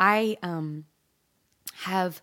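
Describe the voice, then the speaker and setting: The voice carries an animated, bright, sharp tone with ordinary pitch variation. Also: woman, very clean recording, silent background. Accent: Pacific Northwest. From Eugene, Oregon. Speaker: singer-songwriter. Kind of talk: casual interview chat. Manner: animated, laughs often.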